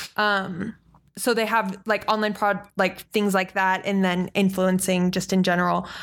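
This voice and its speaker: At a fairly slow pace, a woman speaks at medium pitch in a monotone, flat way, her loudness very even, on a very clean recording with a silent background. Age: 20s. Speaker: podcast co-host. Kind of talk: casual chat.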